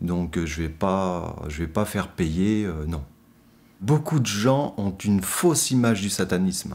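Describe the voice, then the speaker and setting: A man with a very deep, low voice speaks very slowly. His intonation is lively. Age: 40s. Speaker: practising occultist; interviewee. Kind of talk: interview. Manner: hesitant, many fillers. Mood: calm, earnest. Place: studio.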